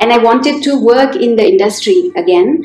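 Her pitch swings very widely as a woman talks at a moderate pace amid audible room echo. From India. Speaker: entrepreneur and intercultural trainer; intercultural trainer. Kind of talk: interview. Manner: halting, many fillers. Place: office.

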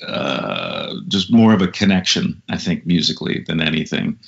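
The speaker talks at a moderate pace with an American accent. The background is quiet. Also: man. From Minneapolis, Minnesota; Minnesota. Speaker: musician and vocalist; guest. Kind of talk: interview. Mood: friendly, reflective. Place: home room. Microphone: low quality Skype recording; video call.

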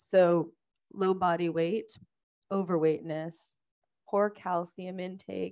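Fairly low pitch from a woman speaker. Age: 40s. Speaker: physical therapist. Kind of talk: lecture. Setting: stage with audience. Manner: clear.

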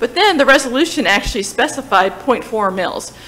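With an American accent, a woman speaks at a high pitch and a fairly quick pace, her pitch swinging very widely. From New Jersey. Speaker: town finance staff presenting budget. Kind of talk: public meeting budget presentation. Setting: town hall meeting. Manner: hesitant, many fillers. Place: hall. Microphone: podium.

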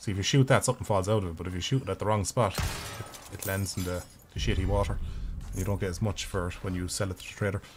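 At a very fast pace, a man with an Irish accent talks at a very deep, low pitch. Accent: Irish, noted by self. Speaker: gaming streamer. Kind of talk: live gameplay commentary.

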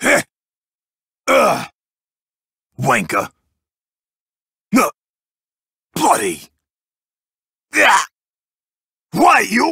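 A man in a put-on character voice. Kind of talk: video game character voice lines. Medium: dub. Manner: rowdy, taunting.

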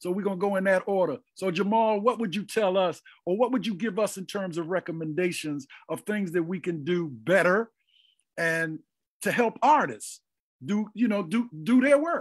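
An animated man's voice, high in pitch, at a moderate pace against a quiet background. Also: ordinary pitch variation. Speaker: forum moderator. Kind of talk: casual chat. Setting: video call. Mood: warm, smiling. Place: home room. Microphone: video call.

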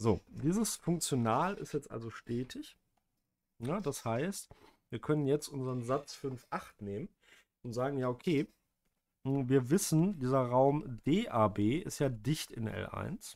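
In a very clean recording with a silent background, a man speaks very slowly at a medium pitch, his intonation lively and his speech broken by long, frequent pauses. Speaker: math lecturer. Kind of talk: lecture. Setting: home recording with screen tablet.

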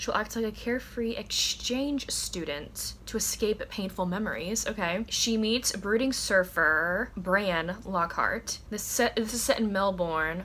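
A woman at a fairly slow pace, with ordinary pitch variation and light background noise. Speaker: book vlogger. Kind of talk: casual vlog chat. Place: home room. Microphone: camera far.

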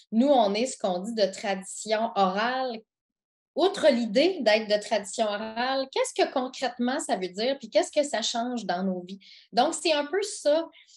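A woman with a high-pitched voice speaks with big swings in loudness against a quiet background. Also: lively intonation, moderate pace. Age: 40s. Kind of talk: interview. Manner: halting.

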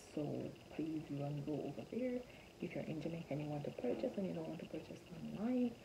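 A woman's speech comes through with noticeable noise in the background. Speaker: parenting vlogger. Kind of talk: casual vlog chat. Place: home room. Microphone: phone near.

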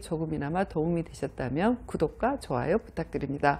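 With a dark, mellow tone and a fairly low pitch, a woman speaks at a moderate pace with lively intonation. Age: 50s. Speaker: motivational speaker; lecturer, YouTuber. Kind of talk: vlog monologue. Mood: warm, expressive storytelling. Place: studio. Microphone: lapel.

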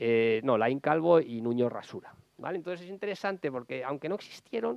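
A man is speaking. The sound is dry with no echo, over a quiet background. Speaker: novelist. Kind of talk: book presentation talk. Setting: public library event. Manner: fast; halting. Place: hall. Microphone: lapel.

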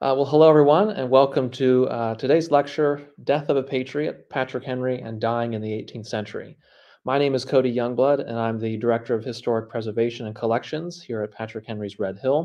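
A man at a fairly quick pace with hardly any pauses, ordinary pitch variation and a quiet background. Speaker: presenter. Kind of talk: lecture. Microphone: webcam.

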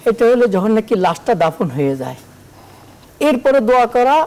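This man speaks at a high pitch with very wide pitch swings. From Bangladesh. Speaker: Islamic scholar, hadith teacher; hadith teacher. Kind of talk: religious Q&A explanation. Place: studio.

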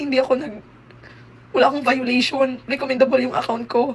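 Noticeable background noise sits behind a woman's voice. She speaks high-pitched and fairly quickly. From Visayas, Philippines. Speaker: content creator. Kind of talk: vlog update.

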